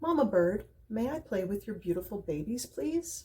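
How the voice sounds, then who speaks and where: Putting on a character voice, a woman speaks at a moderate pace in a medium pitch with very wide pitch swings. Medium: read story.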